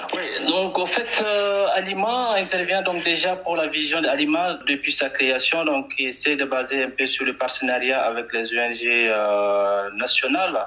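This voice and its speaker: Against noticeable background noise, a man speaks very slowly, his pitch swinging very widely. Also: very even loudness. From Chad. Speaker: humanitarian mission head. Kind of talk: podcast interview.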